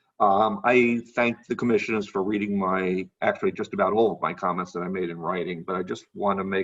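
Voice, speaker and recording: With an American accent, a man talks at a fairly quick pace in an unremarkable speaking voice. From New York City (Brooklyn). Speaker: public commenter at county meeting. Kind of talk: public comment at hearing.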